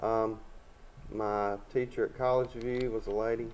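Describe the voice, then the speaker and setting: With an Alabama accent, a man speaks at a fairly slow pace in a monotone, flat intonation. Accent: Southern US (Alabama). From Alabama, Troy. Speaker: local political candidate. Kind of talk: casual interview.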